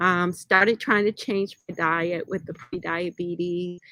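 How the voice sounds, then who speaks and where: In a dry, close sound with no echo, a woman with a bright, sharp tone speaks at a very slow pace. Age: 60s. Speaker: health and wellness show host. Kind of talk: personal story talk to viewers. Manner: conversational, addresses audience directly.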